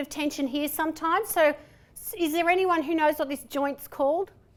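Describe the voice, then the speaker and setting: Speaking at a moderate pace, a woman with a strong Australian accent talks at an extremely high pitch. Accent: broad Australian. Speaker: presentation and voice trainer. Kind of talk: conference workshop talk. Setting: stage with audience.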